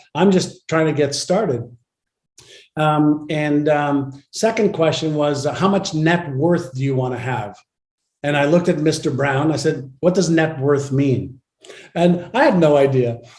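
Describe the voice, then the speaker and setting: With audible echo from the room, a man talks at a moderate pace in a fairly high, somewhat breathy voice. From Israel, Tel Aviv. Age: 60s. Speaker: entrepreneur and author. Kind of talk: interview.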